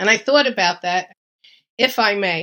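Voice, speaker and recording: Bright and sharp in tone, the voice moves at a moderate pace with very wide pitch swings in a very clean recording with a silent background. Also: woman. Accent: New York. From New York. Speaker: retired nurse, home gardener. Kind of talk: podcast interview. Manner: emphatic.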